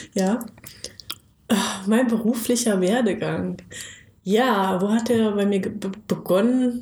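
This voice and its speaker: A woman with a fairly high pitch and a dark, mellow, somewhat breathy tone speaks at a very slow pace with fairly even intonation and long, frequent pauses. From Lower Saxony, Germany (Bad Pyrmont near Hanover). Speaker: podcast co-host, marketing consultant. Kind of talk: casual interview.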